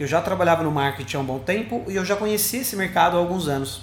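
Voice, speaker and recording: With lively intonation and a high pitch, a man speaks amid audible room echo and noticeable background noise. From Sorocaba, São Paulo state, Brazil. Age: 20s. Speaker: social media marketing specialist. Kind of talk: recorded monologue answering interview questions.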